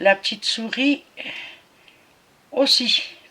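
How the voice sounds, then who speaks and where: A woman is heard over noticeable background noise. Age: 60s. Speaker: cross-stitch vlogger. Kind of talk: casual craft show-and-tell vlog. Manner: hesitant, many fillers.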